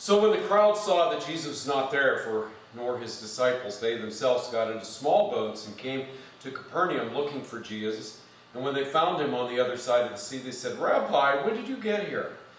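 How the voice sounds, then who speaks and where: Amid light background noise and audible room echo, a man talks at a moderate pace with very wide pitch swings and big swings in loudness. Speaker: pastor. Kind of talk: scripture reading. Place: church. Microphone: podium.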